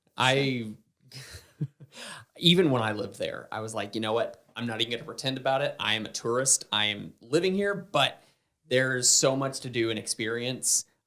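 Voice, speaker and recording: With a slight Southern US accent, a man speaks in a bright, sharp tone at a moderate pace and with ordinary pitch variation. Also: medium pitch for a man. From US South. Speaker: podcast host. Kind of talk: casual chat.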